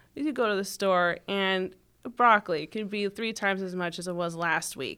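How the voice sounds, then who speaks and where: Here is a woman with a plain, everyday voice. The recording is very clean, with a silent background. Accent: American. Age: 20s. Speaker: political candidate. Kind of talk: interview.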